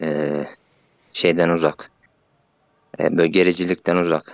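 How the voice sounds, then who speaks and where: In a dry, close recording with no echo, a man speaks with a very deep, low pitch. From Central Anatolia. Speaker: civil servant. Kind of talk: casual chat. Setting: voice chat. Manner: halting.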